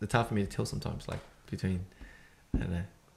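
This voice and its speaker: A man talks with an Australian accent and audible vocal fry. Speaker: podcast co-host. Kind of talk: casual chat. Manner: halting.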